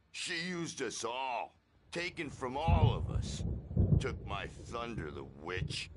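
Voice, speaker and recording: A man puts on a character voice with very wide pitch swings. He delivers it at a fairly slow pace. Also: medium pitch for a man. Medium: video game. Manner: rowdy, theatrical.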